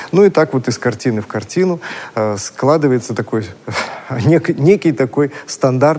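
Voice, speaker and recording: Noticeable background noise runs under this clip. A man with a medium pitch speaks with lively intonation. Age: 40s. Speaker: art historian. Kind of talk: lecture. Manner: sing-song.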